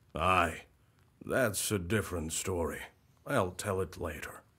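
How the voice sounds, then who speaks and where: A man's put-on character voice, raspy and very deep, at a fairly slow pace with ordinary pitch variation. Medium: video game. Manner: folksy, friendly.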